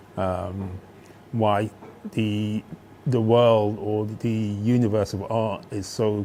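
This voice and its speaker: A man's fairly low voice, very slow in pace and monotone, with flat intonation. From Birmingham (Aston) and East London, England. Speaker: master screenprinter. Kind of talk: interview. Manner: halting.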